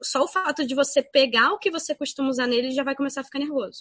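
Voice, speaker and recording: A woman's raised, projected voice. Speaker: veterinarian. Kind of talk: casual chat.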